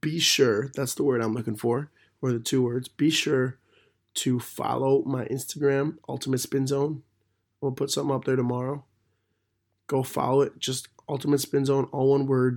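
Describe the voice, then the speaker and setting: Monotone and flat in intonation, a man speaks at a medium pitch and a moderate pace. He has an American accent, on a very clean recording with a silent background. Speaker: podcast host. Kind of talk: casual monologue.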